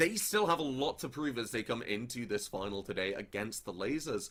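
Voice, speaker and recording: Speaking with an English accent, a man with a fairly high pitch moves at a moderate pace through very wide pitch swings. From England. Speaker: esports caster. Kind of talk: live commentary.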